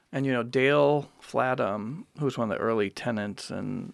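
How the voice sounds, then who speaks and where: A man with an American accent speaks at a moderate pace in a normal speaking voice. His pitch is medium for a man, with ordinary pitch variation. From Wisconsin. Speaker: artist and curator. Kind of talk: casual interview.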